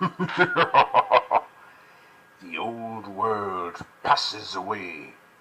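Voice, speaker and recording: A man performs a put-on character voice at a fairly high pitch. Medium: voice reel. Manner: grandiose, menacing.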